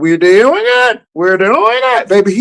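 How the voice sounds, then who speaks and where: Someone uses a put-on character voice, pitched fairly high and delivered at a fairly slow pace. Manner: squawking.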